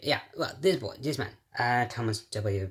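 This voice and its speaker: This man talks at a fairly slow pace, his pitch varying in an ordinary way. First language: Portuguese. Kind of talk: casual talk to camera.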